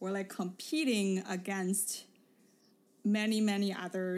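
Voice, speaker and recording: In a Mandarin accent, a woman speaks at a medium pitch with fairly even intonation. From Beijing, China. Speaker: podcast host. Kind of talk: casual conversational chat.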